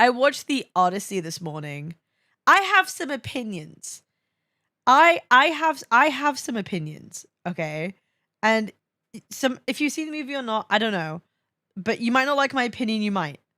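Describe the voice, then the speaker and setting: A woman with a Welsh accent, fairly high pitch, very wide pitch swings and a bright, sharp tone, at a moderate pace with long, frequent pauses, on a very clean recording with a silent background and a dry, close sound with no echo. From Wales. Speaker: VTuber streamer. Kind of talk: casual live stream chat. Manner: animated, halting with repetitions; trying a softer voice.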